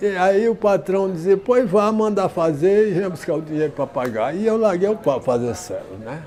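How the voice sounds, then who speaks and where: Against noticeable background noise, a high-pitched man talks at a moderate pace with lively intonation and hardly any pauses. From Ceará, Brazil. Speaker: leather craftsman, saddler. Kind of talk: interview answer.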